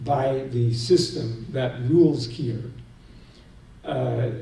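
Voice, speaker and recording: A man with an American accent speaks at a medium pitch and a very slow pace, with ordinary pitch variation. Audible room echo and noticeable background noise fill the recording. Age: 60s. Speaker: seminar speaker. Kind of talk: lecture.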